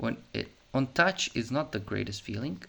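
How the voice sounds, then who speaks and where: A man speaks with vocal fry and lively intonation. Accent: Serbian. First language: Serbian. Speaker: YouTuber reviewing tech. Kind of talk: casual unscripted product review. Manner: halting, with many fillers.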